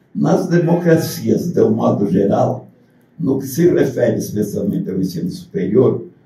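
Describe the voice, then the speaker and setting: Audible room echo follows the voice. A man speaks at a fairly slow pace. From southern Brazil. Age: 80s+. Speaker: university lecturer. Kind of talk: lecture. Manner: partly reading aloud.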